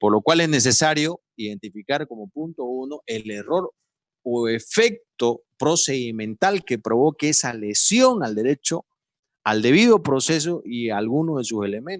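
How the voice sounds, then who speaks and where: A man speaks at a fairly slow pace and medium pitch in a plain, everyday voice with lively intonation. The recording is very clean and dry, close and echo-free, with a silent background. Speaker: lawyer giving a seminar. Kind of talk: lecture.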